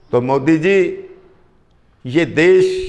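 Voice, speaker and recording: A man speaks with audible room echo. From Punjab. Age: 60s. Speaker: local politician. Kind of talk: interview.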